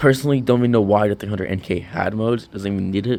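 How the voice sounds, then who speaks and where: With fairly even intonation, a man rattles along at a very fast pace in a fairly low pitch. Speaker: motorcycle vlogger. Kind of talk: product review. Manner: halting; casual.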